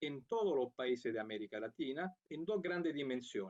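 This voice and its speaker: A man speaks with an Italian accent and a fairly high pitch. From Italy. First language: Italian (speaking Spanish). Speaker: international program coordinator. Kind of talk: conference talk. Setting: remote video link.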